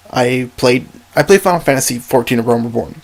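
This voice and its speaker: Over noticeable background noise, a man at a medium pitch talks at a very fast pace with lively intonation. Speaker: gaming youtuber. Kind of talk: casual monologue podcast. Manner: rambling, halting with fillers.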